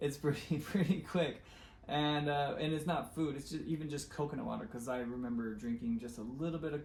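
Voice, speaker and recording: Against noticeable background noise, a man talks at a fairly quick pace and fairly high pitch with ordinary pitch variation. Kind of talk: casual talk to camera.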